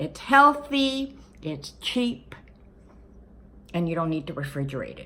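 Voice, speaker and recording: A woman speaks with a bright, sharp tone at a fairly slow pace. Her pitch swings very widely. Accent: American. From California, Los Angeles. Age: 60s. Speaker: retired van-life vlogger. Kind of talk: casual vlog talk to camera. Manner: hesitant, with filler words.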